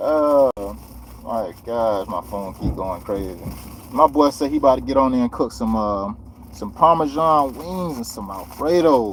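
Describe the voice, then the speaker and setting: With an American accent, a man speaks at a medium pitch and a fairly slow pace. His intonation is lively, and his loudness swings widely. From Florida. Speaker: landscaper livestreamer. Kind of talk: casual livestream chat.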